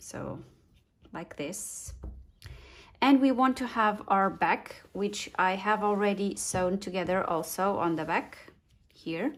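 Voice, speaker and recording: A woman's medium-pitched voice with a non-native accent, very slow with long, frequent pauses and ordinary pitch variation, on a very clean recording with a silent background. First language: not English. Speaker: sewing instructor. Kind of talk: tutorial. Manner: halting, many fillers.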